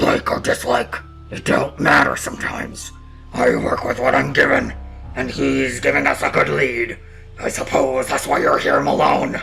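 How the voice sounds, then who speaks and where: A man puts on a character voice that is raspy and hoarse, speaking at a moderate pace. Music plays clearly in the background. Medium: game stream. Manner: gruff, laconic.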